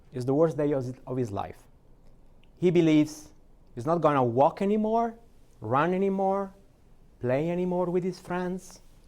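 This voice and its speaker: On a very clean recording with a silent background, a man with an Italian accent and a high pitch talks at a moderate pace with long, frequent pauses. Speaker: AI strategy advisor, keynote speaker. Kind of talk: keynote speech. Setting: stage at a conference.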